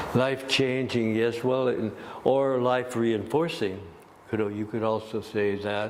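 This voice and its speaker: Very slow, fairly even speech with music in the background. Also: man. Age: 80s+. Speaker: gong master, musician and yoga teacher. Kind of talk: interview answer.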